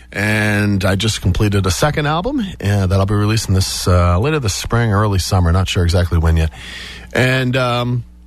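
A man with an American accent has a normal speaking voice, fairly low in pitch. His intonation is lively, his pace moderate, and his loudness very even. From Massachusetts South Shore. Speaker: musician. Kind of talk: interview chat. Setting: radio studio.

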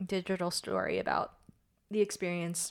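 This woman has an American accent and a fairly low pitch. Her intonation stays monotone and flat. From United States (Korean adoptee, born in Korea). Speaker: Korean adoptee. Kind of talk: casual interview chat.

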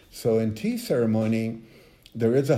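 With audible room echo, a man speaks at a medium pitch in a dark, mellow tone. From Mexico. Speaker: visual artist. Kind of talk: interview. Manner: halting.

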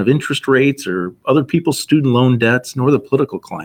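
Very fast speech with vocal fry. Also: man. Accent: American. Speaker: financial advisor. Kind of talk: podcast interview, financial advice.

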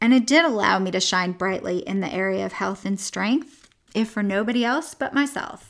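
A woman speaks at a medium pitch and moderate pace in an unremarkable speaking voice. The recording is very clean, with a silent background. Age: 50s. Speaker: weight loss coach and podcast host. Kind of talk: motivational monologue. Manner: upbeat, encouraging.

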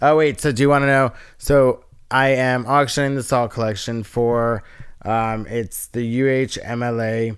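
In an ordinary speaking voice, the speaker goes at a fairly slow pace with fairly even intonation on a very clean recording with a silent background. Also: man, medium pitch for a man. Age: 30s. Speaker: artist. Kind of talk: casual chat.

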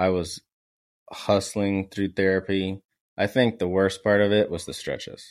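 A man's monotone, flat delivery at a fairly slow pace. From San Antonio, Texas. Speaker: guest, former college baseball player, marketing/content. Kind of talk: casual interview chat.

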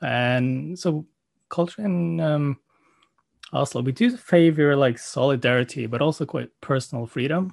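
A man with a Norwegian accent and a fairly high pitch, at a fairly slow pace with ordinary pitch variation, against a quiet background. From Norway. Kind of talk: casual chat. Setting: video call.

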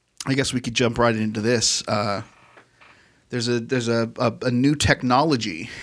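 A man in a normal speaking voice, medium in pitch, with fairly even intonation at a moderate pace. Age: 40s. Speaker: podcast co-host, recording studio owner. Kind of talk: casual chat.

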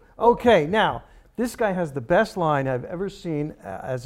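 An ordinary speaking voice comes through with lively intonation. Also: man. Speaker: podcast co-host. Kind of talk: casual chat, joking banter.

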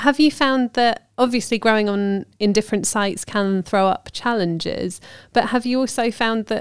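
A woman speaks with a British accent at a fairly high pitch, using ordinary pitch variation. The recording is very clean with a silent background. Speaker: podcast host, magazine editor. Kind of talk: casual chat.

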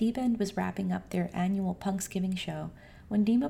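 The voice is plain reading aloud. It is plain reading aloud throughout.

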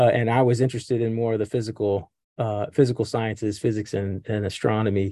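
With an Appalachian accent, a man talks at a fairly quick pace in a medium pitch, his tone dark and mellow over a quiet background. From Appalachia, Welch, West Virginia. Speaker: professor and astronomer. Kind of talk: casual interview chat.

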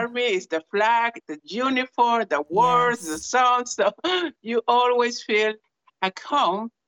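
This woman speaks with a Spanish accent at a fairly slow pace. Her pitch sits fairly high and varies in an ordinary way. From Peru. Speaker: church minister. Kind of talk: personal introduction and testimony. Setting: video call.

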